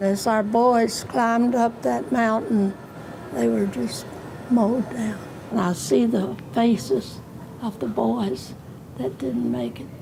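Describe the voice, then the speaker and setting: A woman speaks very slowly at a medium pitch, her voice swinging very widely in pitch over noticeable background noise. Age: 80s+. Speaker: WWII veteran, former army nurse. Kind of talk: interview answer.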